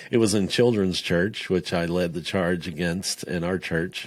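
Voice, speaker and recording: A man with an American accent and a very deep, low pitch, on a very clean recording with a silent background. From Florida. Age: 50s. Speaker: ruling elder in a church. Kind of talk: casual interview chat.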